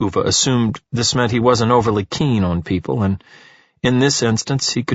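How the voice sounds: The voice is a natural reading voice.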